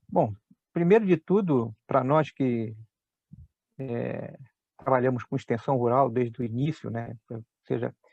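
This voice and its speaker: Here a man talks at a fairly slow pace with long, frequent pauses. His medium pitch shows ordinary variation. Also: dry, close sound with no echo. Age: 60s. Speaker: agronomist, agricultural researcher. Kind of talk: interview. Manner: hesitant, many fillers.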